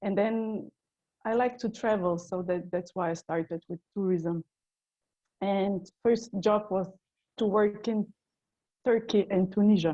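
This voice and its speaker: A woman of medium pitch speaks at a fairly slow pace with long, frequent pauses, her dark, mellow tone and fairly even intonation captured in a dry, close sound with no echo. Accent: Slovenian. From Slovenia, Ljubljana. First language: Slovenian. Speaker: tour guide. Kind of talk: casual chat.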